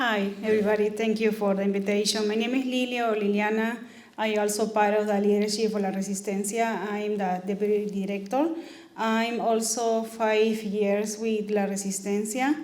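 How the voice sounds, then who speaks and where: A woman with a Spanish accent speaks at a moderate pace in a fairly high pitch, her loudness very even. Her intonation is flat and monotone, and the room echo is audible. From Peru. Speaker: immigrant rights activist. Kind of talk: talk to meeting. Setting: community meeting.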